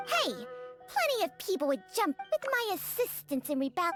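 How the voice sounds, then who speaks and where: A cartoonish character voice, high-pitched with very wide pitch swings, moves at a moderate pace over clear music in the background. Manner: blunt, sardonic.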